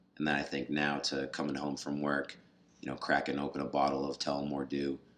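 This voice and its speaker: A man speaks at a moderate pace with vocal fry. His pitch is very deep and low. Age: 20s. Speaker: podcast host. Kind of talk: casual interview.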